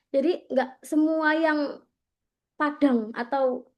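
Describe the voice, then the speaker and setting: A woman talks in a high pitch with a slight Javanese accent. The background is quiet. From East Java, Gresik. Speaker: content creation trainer. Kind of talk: training workshop presentation. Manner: casual, conversational.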